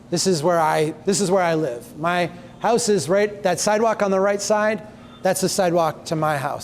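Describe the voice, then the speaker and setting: Noticeable background noise sits behind a man with a Minnesota accent. His pitch is high and his pace fairly slow. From Minnesota, USA. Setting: outdoors, street.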